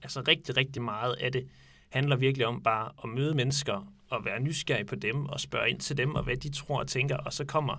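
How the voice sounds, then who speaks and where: A man with vocal fry and a bright, sharp tone, fairly even intonation, on a very clean recording with a silent background. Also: medium pitch for a man, moderate pace. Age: 20s. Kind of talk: casual discussion. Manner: hesitant, many fillers.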